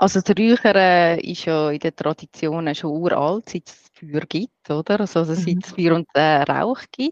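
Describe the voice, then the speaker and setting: In a Swiss accent, a woman with a fairly low pitch and ordinary pitch variation speaks at a fairly slow pace with hardly any pauses and big swings in loudness, her voice dry and close with no echo over a quiet background. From Switzerland, rural farm. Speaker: smudging expert and breath therapist. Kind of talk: interview.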